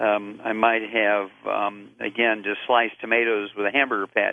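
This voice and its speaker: Monotone and flat, a man's voice holds a medium pitch. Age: 70s. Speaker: doctor and supplement advocate. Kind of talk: radio interview.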